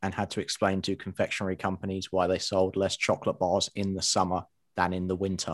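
A man with a British accent, a very deep, low voice, monotone, flat intonation and a fairly quick pace, on a very clean recording with a silent background. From England. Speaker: guest, online publisher. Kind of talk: casual interview chat. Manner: humorous, jokey.

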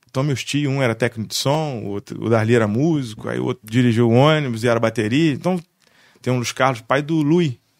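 An unremarkable speaking voice at a fairly quick pace, with ordinary pitch variation and a dry, close sound with no echo. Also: man. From Barra do Piraí, Rio de Janeiro state, Brazil. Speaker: musician and music producer. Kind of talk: casual chat.

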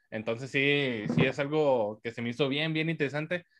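A man speaks with a normal speaking voice. His pitch is fairly high and his pace moderate. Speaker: podcast host. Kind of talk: casual chat. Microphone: volume goes up and down, far from mic.

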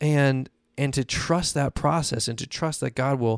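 A man talks in an ordinary speaking voice at a medium pitch with ordinary pitch variation. The sound is dry and close, with no echo. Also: very clean recording, silent background. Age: 20s. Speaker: podcast host, former pastor. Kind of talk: devotional podcast monologue. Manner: casual, conversational.

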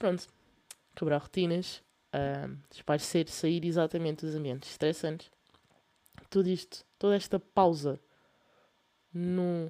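A woman with a European Portuguese accent speaks at a fairly slow pace, leaving long, frequent pauses. Her voice is fairly low-pitched with a dark, mellow tone and fairly even intonation. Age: young. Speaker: podcast host. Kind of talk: casual monologue. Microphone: laptop fan noise.

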